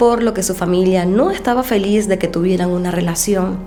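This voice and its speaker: A woman at medium pitch and a moderate pace, with audible room echo and music in the background. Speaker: true crime youtuber. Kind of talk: true crime narration.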